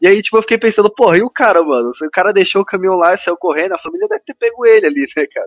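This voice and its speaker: A high-pitched man talking very fast, hardly pausing, with lively intonation. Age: 20s. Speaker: podcast host. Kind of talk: casual chat.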